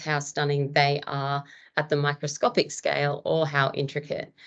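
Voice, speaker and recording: A woman speaks with an Australian accent and a very deep, low pitch. The background is quiet. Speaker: marine biologist. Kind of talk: lecture. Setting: webinar.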